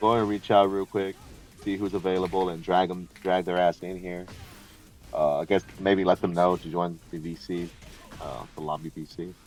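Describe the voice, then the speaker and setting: Music plays behind a man with a very deep, low voice and flat, monotone intonation. His loudness swings widely. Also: moderate pace. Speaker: podcast host. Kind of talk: casual chat. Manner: casual, slurred words.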